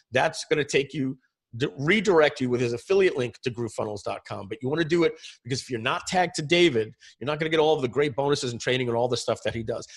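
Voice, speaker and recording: A man at a fairly high pitch, talking at a very fast pace with lively intonation. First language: French. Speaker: software entrepreneur. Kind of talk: webinar presentation.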